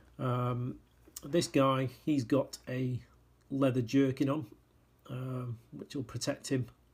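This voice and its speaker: The man's voice is somewhat breathy. He holds a medium pitch with fairly even intonation. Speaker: miniatures sculptor. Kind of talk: casual product walkthrough. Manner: hesitant, many fillers.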